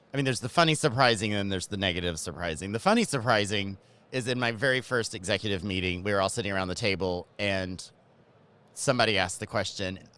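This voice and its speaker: A man with a Southern US accent talks at a very fast clip in a fairly low voice, his tone bright, sharp and animated, with ordinary pitch variation. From Georgia, US South. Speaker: cannabis marketing executive. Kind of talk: interview. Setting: convention ballroom.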